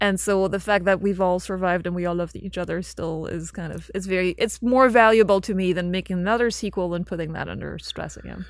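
Very fast speech from a woman in a French accent, medium in pitch with fairly even intonation, on a very clean recording with a silent background. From French-speaking Belgium. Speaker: filmmaker and author. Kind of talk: interview.

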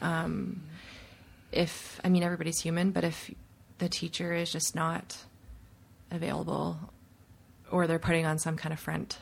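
A woman with a Canadian accent, fairly low-pitched with vocal fry, monotone and flat, at a moderate pace with long, frequent pauses, on a very clean recording with a silent background. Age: 30s. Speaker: yoga teacher. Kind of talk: interview conversation.

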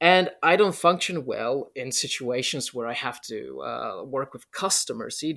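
A man with a Polish accent at a fairly slow pace, hardly any pauses and big swings in loudness, on a very clean recording with a silent background. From Poland. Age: 30s. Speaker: YouTuber and writer. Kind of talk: casual interview conversation.

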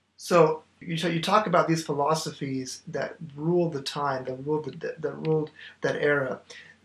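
Fairly even in intonation, an unremarkable speaking voice proceeds at a moderate pace. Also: man, fairly high pitch for a man. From Oklahoma, US. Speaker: theology graduate, church member. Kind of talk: casual theological discussion.

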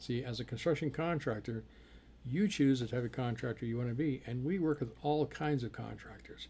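Somewhat breathy and in a dark, mellow tone, a man speaks at medium pitch and a fairly quick pace with ordinary pitch variation. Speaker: podcast host and construction accountant. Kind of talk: solo business podcast monologue. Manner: fast.

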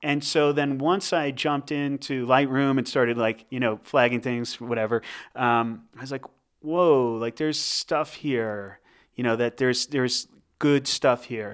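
In an ordinary speaking voice, a man with an American accent speaks fairly slowly at a medium pitch with fairly even intonation, on a very clean recording with a silent background. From New Jersey. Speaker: photographer. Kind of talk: casual interview. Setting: in person.

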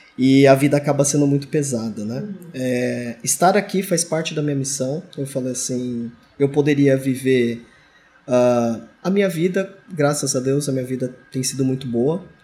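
Somewhat breathy and dark, mellow in tone, a man speaks at a fairly high pitch with ordinary pitch variation and a moderate pace. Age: 40s. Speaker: engineering supervisor. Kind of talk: interview.

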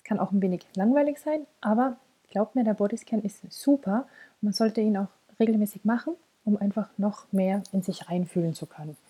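Her tone is dark, mellow and somewhat breathy, with ordinary pitch variation. The woman's voice sounds dry and close, with no echo. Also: medium pitch for a woman. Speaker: podcast host and mental coach. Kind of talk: guided meditation (body scan). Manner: slow, calm, soothing, with long pauses; soft-spoken, gentle, warm.

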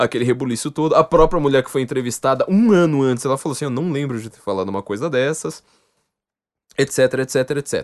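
An animated man at a fairly quick pace, over a quiet background, with a dry, close sound and no echo. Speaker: podcast host. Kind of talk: casual chat.

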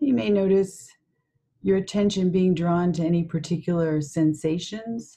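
Her voice is somewhat breathy and fairly low for a woman. She keeps her loudness very even, with ordinary pitch variation. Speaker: meditation guide. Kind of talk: guided meditation. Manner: slow, calm, soothing, with long pauses; soft-spoken, gentle.

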